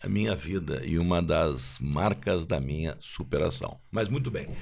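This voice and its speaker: A man's fairly slow speech, full of very wide pitch swings and vocal fry. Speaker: marketing executive, former football club marketing director. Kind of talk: podcast panel discussion.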